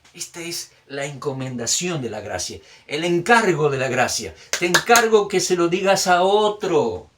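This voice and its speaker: A man with a high pitch speaks at a fairly slow pace, his intonation lively and his loudness swinging widely. Room echo is audible. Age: 60s. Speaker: pastor. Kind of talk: sermon. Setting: recorded video message.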